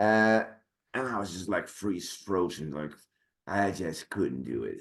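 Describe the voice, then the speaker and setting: A man's voice with vocal fry and lively intonation. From Netherlands. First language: Dutch. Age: 40s. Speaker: actor and sword master. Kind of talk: casual chat. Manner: halting.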